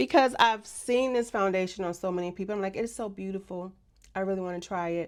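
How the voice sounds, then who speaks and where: A woman speaks at a very fast pace in an animated tone, her pitch varying in an ordinary way. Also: medium pitch for a woman. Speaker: beauty vlogger. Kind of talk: product review.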